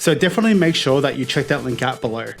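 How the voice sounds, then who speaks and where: With music in the background, a man with an Australian accent talks very fast in a fairly high pitch. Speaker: card game judge. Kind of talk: casual talk to camera. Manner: hesitant, some stuttering and slurred words.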